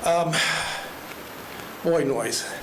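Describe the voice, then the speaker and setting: Noticeable background noise and audible room echo accompany a man as he speaks. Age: 60s. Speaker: resident speaking at public comment. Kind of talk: public comment at county meeting. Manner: fast.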